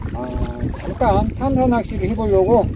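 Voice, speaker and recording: A man talks at a moderate pace, the sound dry with no echo, over noticeable background noise. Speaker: fishing channel host. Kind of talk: tutorial. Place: waterside.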